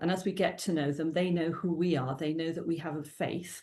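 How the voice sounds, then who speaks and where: A woman with a Welsh accent, fairly low pitch, a dark, mellow tone, and fairly even intonation against a quiet background. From South Wales. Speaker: youth worker and children's author. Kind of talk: interview. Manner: halting.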